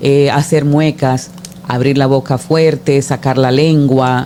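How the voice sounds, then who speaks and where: Over noticeable background noise, a woman with a very deep, low pitch talks at a fairly slow pace with fairly even intonation. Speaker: communication coach and radio announcer. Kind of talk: talk show interview.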